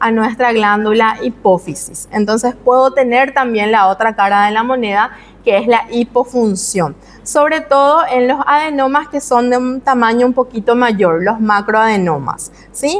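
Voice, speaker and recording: Over noticeable background noise, a woman with a high pitch speaks at a fairly slow pace, with ordinary pitch variation and very even loudness. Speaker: medical lecturer. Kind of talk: lecture.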